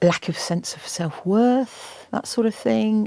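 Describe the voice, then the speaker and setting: A woman speaks with a dark, mellow tone. The recording is dry and close, with no echo. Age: 60s. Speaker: environmental campaigner and TV presenter. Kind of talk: interview. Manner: animated.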